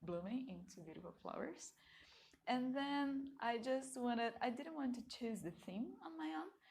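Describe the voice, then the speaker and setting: Lively intonation in a Portuguese accent. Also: woman. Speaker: tarot card reader. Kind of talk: pick-a-card reading. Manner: casual, with filler words.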